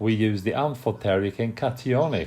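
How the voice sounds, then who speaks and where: A man with an Italian accent, fairly low pitch, and very wide pitch swings. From Italy. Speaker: hair colour technician. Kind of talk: product presentation. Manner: hesitant, many filler sounds.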